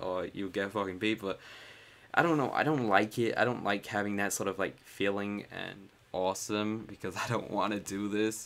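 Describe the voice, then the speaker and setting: At a moderate pace, a man speaks in an American accent with a fairly low pitch. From United States (raised there from age three). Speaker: YouTuber. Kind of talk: casual vlog talk. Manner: upbeat.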